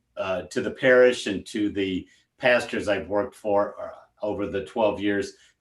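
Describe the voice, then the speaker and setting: A man with a plain, everyday voice speaks at a fairly low pitch and a moderate pace. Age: 60s. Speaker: deacon. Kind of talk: casual chat.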